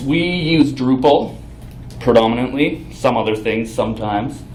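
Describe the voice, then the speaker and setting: Audible room echo and noticeable background noise surround a man with a Canadian Prairies accent. He speaks at a fairly slow pace in a medium pitch with lively intonation. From Canada, Saskatchewan. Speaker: front-end developer, conference speaker. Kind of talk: conference talk. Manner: casual, with fillers.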